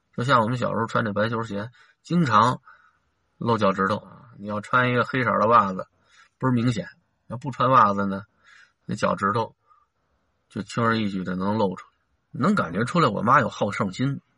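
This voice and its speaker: A man's bright, sharp tone has ordinary pitch variation and is broken by long, frequent pauses. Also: medium pitch for a man, moderate pace, quiet background. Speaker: school teacher. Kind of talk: casual monologue.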